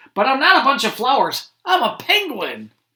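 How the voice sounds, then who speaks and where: A woman uses a put-on character voice pitched high. She keeps a moderate pace. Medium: read story. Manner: eager, good-natured.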